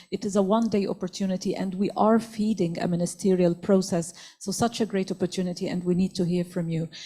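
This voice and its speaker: Very fast and monotone, a woman talks in a dark, mellow, somewhat breathy voice with flat intonation. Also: medium pitch for a woman. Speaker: forum moderator. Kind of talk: panel moderation.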